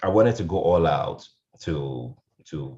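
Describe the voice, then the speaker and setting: The man's voice sits very deep and low. He speaks with lively intonation. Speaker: radio programs manager, panelist. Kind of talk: panel discussion. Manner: loud; animated.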